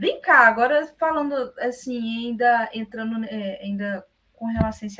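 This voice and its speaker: Her tone bright and sharp, a woman with a fairly high pitch talks at a fairly slow pace with ordinary pitch variation. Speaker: interviewer. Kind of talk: interview questions.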